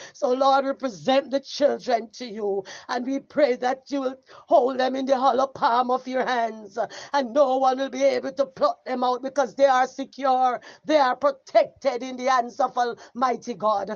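This woman speaks with a Jamaican accent at a high pitch. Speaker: evangelist leading prayer. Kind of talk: fervent intercessory prayer, rising to a climactic spoken benediction. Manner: impassioned, repetitive petitions punctuated by cries of oh God; rhythmic, building preacher cadence ending in emphatic amens.

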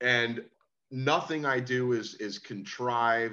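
Against a quiet background, a man speaks at a very slow pace with a bright, sharp tone. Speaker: rock singer; guest. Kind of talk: casual chat. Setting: video call. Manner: animated. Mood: earnest, emotional. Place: home room. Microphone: video call.

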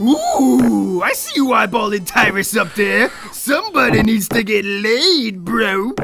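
Over clear background noise, a man with a high voice speaks fairly slowly in a raised, projected voice. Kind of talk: comic overacting. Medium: machinima. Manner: crude, bro-ish, excitable, rambling.

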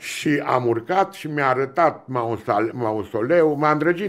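Speaking at a very slow pace, a man talks. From Romania. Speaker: relative of a famous philosopher; podcast guest. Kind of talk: interview. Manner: halting. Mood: reflective, reminiscing. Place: studio. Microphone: studio mic.

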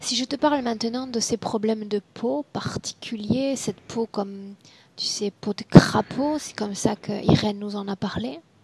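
A woman speaks fairly slowly in a somewhat breathy, fairly high voice with ordinary pitch variation, the sound dry with no echo. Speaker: hypnotherapist; hypnosis session guide. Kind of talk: regressive hypnosis session. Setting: video call. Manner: directive. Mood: calm, gentle, slow. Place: home room. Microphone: headset.

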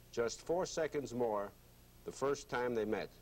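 This man speaks with ordinary pitch variation. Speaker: TV show host. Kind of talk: broadcast introduction. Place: studio. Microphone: lapel.

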